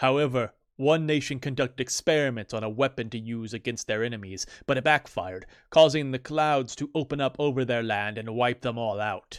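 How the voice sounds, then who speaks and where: Putting on a character voice, a man talks at a fairly quick pace in a medium pitch. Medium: read story. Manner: grandiose, self-important.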